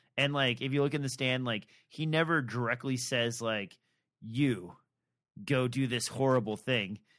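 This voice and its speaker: A man talks in a normal speaking voice at medium pitch, moderate pace and ordinary pitch variation. The recording is very clean, with a silent background. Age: 40s. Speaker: podcast co-host. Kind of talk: casual chat about books.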